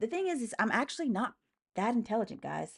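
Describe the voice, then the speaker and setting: A woman talks at a very fast pace with an American accent, her pitch swinging very widely. Her tone is animated, and the background is quiet. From US South, small-town Alabama. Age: 30s. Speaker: live streamer. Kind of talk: live stream chat reading comments. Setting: live stream.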